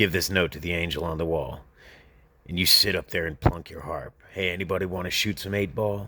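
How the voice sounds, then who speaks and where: Using a put-on character voice, a man speaks at a fairly quick pace with a raspy, very deep, low pitch. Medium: read story. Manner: offhand, casual, unimpressed.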